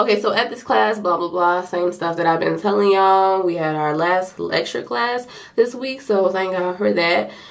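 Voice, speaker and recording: A woman of medium pitch with noticeable background noise. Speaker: nursing student vlogger. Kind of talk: vlog. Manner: casual, filler-heavy; fast.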